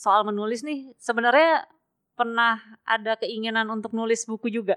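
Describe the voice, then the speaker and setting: This woman has a normal speaking voice, pitched fairly high. She talks at a fairly slow pace in a dry, close sound with no echo. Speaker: podcast host. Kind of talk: casual interview. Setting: in-person recording, both wearing masks. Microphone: muffled by double-layer face mask.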